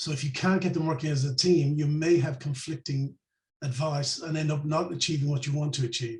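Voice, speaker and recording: A man with an Irish accent speaks fairly quickly at a fairly high pitch, somewhat breathy, with fairly even intonation. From Ireland. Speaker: financial planner. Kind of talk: interview.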